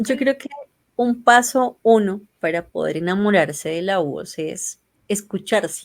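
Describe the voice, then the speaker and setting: Lively in intonation, a woman speaks at a fairly slow pace with big swings in loudness. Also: medium pitch for a woman. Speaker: podcaster, member of a feminist reading collective. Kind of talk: interview. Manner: strong sibilant s sounds.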